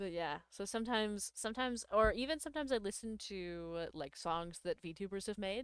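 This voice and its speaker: With an unremarkable speaking voice, a woman talks at a fairly quick pace and medium pitch, using lively intonation and hardly any pauses. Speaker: VTuber streamer. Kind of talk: casual chat. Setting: live stream.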